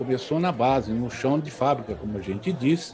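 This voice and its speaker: A man speaks at a fairly quick pace, his pitch swinging very widely, with noticeable background noise behind him. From São Paulo city, Brazil. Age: 60s. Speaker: agronomist. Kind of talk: podcast interview.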